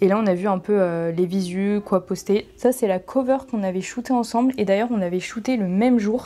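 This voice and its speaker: This woman talks at a moderate pace with ordinary pitch variation. Her tone is dark and mellow, sitting at a medium pitch. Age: 20s. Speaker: content creator and artist manager. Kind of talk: vlog. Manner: casual, hesitant with fillers.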